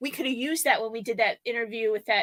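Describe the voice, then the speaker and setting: A loud, animated woman's voice, high-pitched and bright and sharp, with ordinary pitch variation and a dry, close sound with no echo. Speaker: YouTuber, live show co-host. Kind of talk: casual chat on a live stream. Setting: live video stream.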